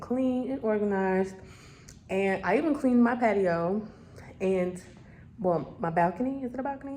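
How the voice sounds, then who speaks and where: With a dark, mellow tone and lively intonation, a woman talks at a moderate pace in a room with audible echo. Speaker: lifestyle vlogger. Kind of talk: casual vlog talk. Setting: at home in apartment. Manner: animated.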